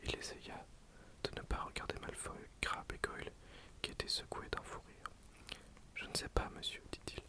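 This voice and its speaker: Noticeable noise sits in the background. The speaker whispers at a moderate pace. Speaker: ASMR creator. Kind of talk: read story. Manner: whispered.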